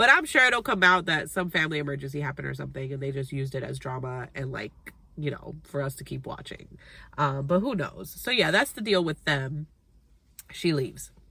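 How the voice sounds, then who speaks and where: A woman with a very deep, low voice and vocal fry speaks at a fairly quick pace, her animated, bright, sharp tone marked by lively intonation and big swings in loudness. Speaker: TV recap youtuber. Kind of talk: casual chat. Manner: fast.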